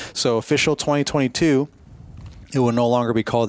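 A man talks in an ordinary speaking voice at a medium pitch. His pace is fairly quick and his intonation fairly even. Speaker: podcast host. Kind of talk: casual chat. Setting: in person at expo.

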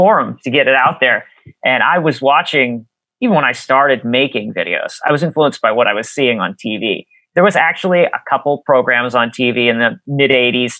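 Moderate pace, ordinary pitch variation, and a fairly high pitch from a man in a plain, everyday voice. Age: 40s. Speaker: YouTube video creator and musician. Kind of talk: casual chat. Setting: remote call.

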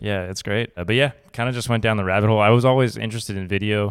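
On a very clean recording with a silent background, a man with an ordinary speaking voice talks at a fairly low pitch with fairly even intonation. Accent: American. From Colorado, near Boulder. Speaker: podcast host and videographer. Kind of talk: casual interview chat.

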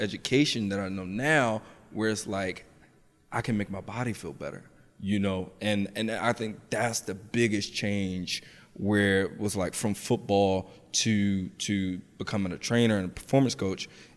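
A man with an American accent has a fairly low pitch and an unremarkable speaking voice. He speaks at a fairly slow pace on a very clean recording with a silent background. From US Mid-Atlantic, Washington DC and Southern Maryland. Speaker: personal trainer. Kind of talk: casual interview.

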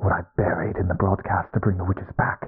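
Using a put-on character voice, a man growls in a raspy, very deep, low pitch. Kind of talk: horror audio drama villain monologue. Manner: gloating, menacing, grandiose.

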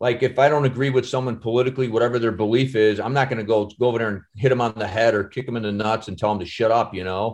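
A man with an American accent speaks at a very fast pace, with hardly any pauses. His pitch is medium and his intonation fairly even. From Chicago. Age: 50s. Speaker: actor and stuntman. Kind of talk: casual chat.

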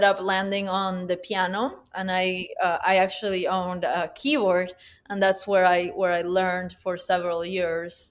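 A woman with a Spanish accent talks at a fairly slow pace. The recording is very clean, with a silent background. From Peru, Huánuco. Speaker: concert pianist and educator. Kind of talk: interview.

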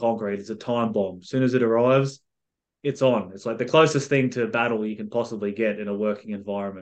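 Over a quiet background, a man talks very fast with an Australian accent. His pitch is medium and his intonation fairly even. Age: 30s. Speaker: mindset coach and author. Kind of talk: casual chat.

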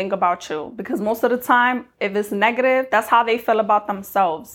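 A woman with a plain, everyday voice talks at a fairly high pitch with lively intonation. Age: 20s. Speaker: lifestyle podcaster. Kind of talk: motivational monologue.

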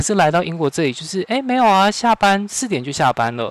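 Lively intonation marks this man's speech over noticeable background noise. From Taiwan. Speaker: corporate trainer. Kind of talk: interview.

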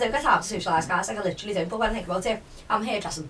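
Noticeable background noise sits under the speech. A woman talks very fast at a medium pitch, with ordinary pitch variation. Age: 20s. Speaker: podcast host. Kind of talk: casual chat.

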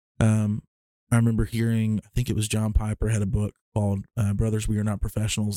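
Talking at a very fast pace, a man with a Southern US accent keeps a fairly low pitch and a monotone, flat intonation. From Alabama. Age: 20s. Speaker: musician and storyteller. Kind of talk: casual interview chat.

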